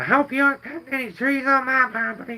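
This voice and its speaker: A man does a put-on character voice in an extremely high pitch. He talks at a very fast pace. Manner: evil, menacing.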